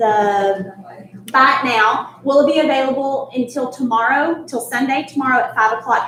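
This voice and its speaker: Over noticeable background noise and audible room echo, a woman projects a raised voice at a high pitch and moderate pace, with ordinary pitch variation. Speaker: charity event host. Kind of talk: live-streamed charity event presentation. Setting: resort venue, live stream.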